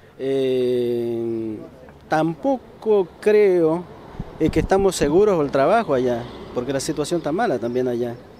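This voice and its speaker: A man talks at a very slow pace with lively intonation, in a dry sound with no echo and light background noise. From eastern Mendoza, Argentina. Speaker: factory machine operator; laid-off factory worker. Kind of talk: street interview. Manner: halting. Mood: worried, somber. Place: street. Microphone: handheld.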